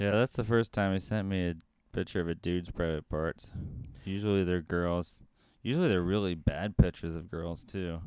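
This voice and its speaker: The intonation stays fairly even. The recording is very clean, with a silent background. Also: man, very deep, low pitch for a man, moderate pace. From rural US. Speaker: podcast co-host, restaurant worker. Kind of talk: casual chat.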